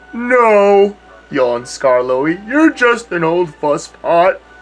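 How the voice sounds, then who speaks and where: A man puts on a character voice pitched high, swinging very widely in pitch at a very slow pace over faint background music. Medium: fan dub.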